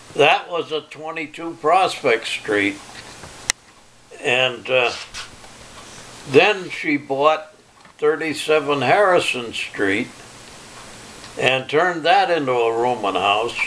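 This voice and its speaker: A man with a fairly high pitch speaks at a very slow pace, leaving long, frequent pauses. Noticeable background noise is present. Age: 90s. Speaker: retired electrician and farmer. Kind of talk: family oral history interview. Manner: halting.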